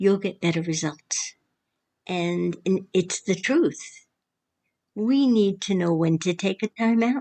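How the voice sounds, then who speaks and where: A woman speaks at a medium pitch with a dark, mellow tone. Her pace is very slow, with long, frequent pauses. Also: ordinary pitch variation. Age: 80s+. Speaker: retired daycare teacher. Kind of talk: advice talk.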